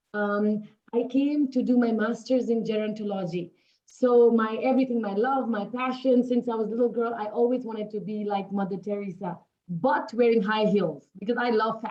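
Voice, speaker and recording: This woman has a fairly high pitch. She speaks at a moderate pace with fairly even intonation. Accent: Nepali. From Nepal. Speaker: network marketing distributor. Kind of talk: interview.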